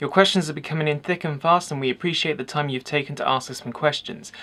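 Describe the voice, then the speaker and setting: In an English accent, a man talks at a very fast pace. His pitch is fairly high. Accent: peculiar accent, English. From England. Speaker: photography channel host. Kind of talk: Q&A video, answering viewer questions.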